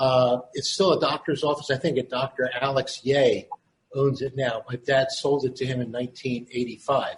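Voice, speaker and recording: A man with a Philadelphia accent speaks at medium pitch and a moderate pace. His intonation is monotone and flat. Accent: Philadelphia American. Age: 70s. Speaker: son of a prison doctor. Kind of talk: recounting family history. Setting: video call. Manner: halting.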